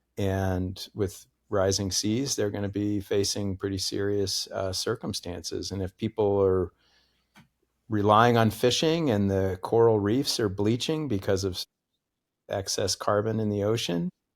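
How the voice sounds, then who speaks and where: An unremarkable speaking voice, a man with an American accent talks fairly slowly at a fairly low pitch with ordinary pitch variation, in a very clean recording with a silent background and a dry, close sound with no echo. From US Northeast, Connecticut. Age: 60s. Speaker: professor. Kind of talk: interview conversation.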